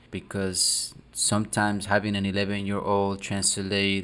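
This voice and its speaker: In a very clean recording with a silent background, a man speaks with a fairly low pitch in a Spanish accent. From South America. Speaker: marketing co-host. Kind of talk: casual chat.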